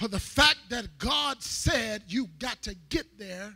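In a quiet setting, a man projects a raised voice at a high pitch. His tone is bright and sharp, with ordinary pitch variation. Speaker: guest preacher. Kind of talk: sermon. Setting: church with live congregation. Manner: fervent, filler-heavy with amen and thank God. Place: church. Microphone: handheld.

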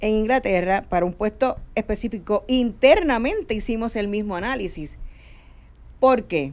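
With a plain, everyday voice, a woman talks at a moderate pace, her pitch fairly high and her intonation lively. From Puerto Rico. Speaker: HR consulting firm head; guest. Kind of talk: panel discussion. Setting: radio studio. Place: studio. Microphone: studio mic.

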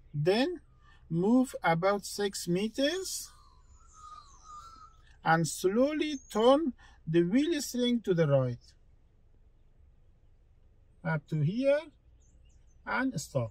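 Speaking at a very slow pace, a man with a high-pitched voice is recorded with a dry sound and no echo. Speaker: driving instructor. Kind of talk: tutorial. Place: car.

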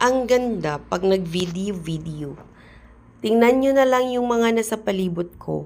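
Lively intonation colors a woman's fairly slow speech. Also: medium pitch for a woman. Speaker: vlogger. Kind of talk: casual vlog narration. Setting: outdoors. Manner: animated.

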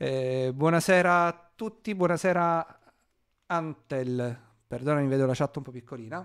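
In a quiet background, a man speaks at a fairly slow pace with a fairly high pitch, ordinary pitch variation and big swings in loudness. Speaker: cybersecurity streamer presenting a blue team segment; streamer presenting cybersecurity topic. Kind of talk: live-stream tutorial. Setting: live stream. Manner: hesitant, many filler sounds. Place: home room. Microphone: mic level adjusted, first too quiet then too loud.

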